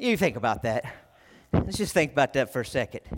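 A man with a Texan accent and lively intonation, on a very clean recording with a silent background. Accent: Texan (US Southern) English. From Texas. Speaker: youth pastor, guest preacher. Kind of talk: sermon. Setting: church with congregation. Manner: animated.

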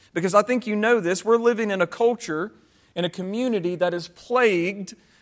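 Speaking at a moderate pace, a man with a high pitch shows ordinary variation in his intonation. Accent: Southern US. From US South. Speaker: pastor. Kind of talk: sermon. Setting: church.

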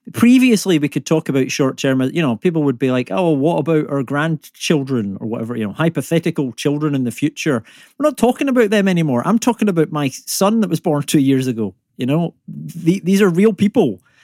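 A man's fairly high, dark and mellow voice in a Scottish accent, very fast, with very wide pitch swings, in a dry, close sound with no echo and a very clean recording over a silent background. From Scotland. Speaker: climate comedian and environmental economist. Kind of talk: casual conversational, humorous. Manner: joking, humorous.

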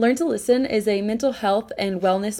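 This woman has a plain, everyday voice with an American accent and ordinary pitch variation. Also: very clean recording, silent background. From US East Coast. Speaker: podcast host. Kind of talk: casual interview; scripted intro.

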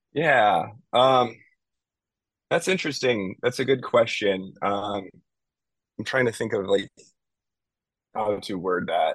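The speaker talks at a very slow pace, with long, frequent pauses. The intonation is lively. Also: man, medium pitch for a man. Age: 30s. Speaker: musician and animator. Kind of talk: casual interview. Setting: studio. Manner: hesitant, many fillers.

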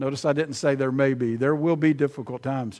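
With an Alabama accent, a man speaks at a fairly high pitch with ordinary pitch variation. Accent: Southern US (Alabama). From US South, Alabama (Prattville). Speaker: visiting preacher. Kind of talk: sermon.

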